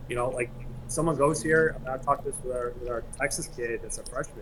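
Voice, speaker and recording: A man rushes through his words very fast, with ordinary pitch variation, as noticeable background noise runs beneath. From East Lansing, Michigan. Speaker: college soccer coach. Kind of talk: interview.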